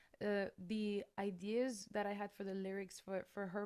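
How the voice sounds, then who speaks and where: A woman speaks with a French accent at a medium pitch. Her pace is moderate. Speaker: metal singer. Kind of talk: interview. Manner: halting, with many fillers and repeated words.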